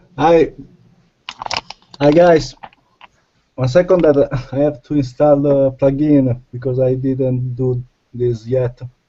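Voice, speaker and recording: With an Italian accent, a man speaks at a very slow pace with long, frequent pauses, a medium pitch and fairly even intonation. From Italy. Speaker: software project manager. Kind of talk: casual chat.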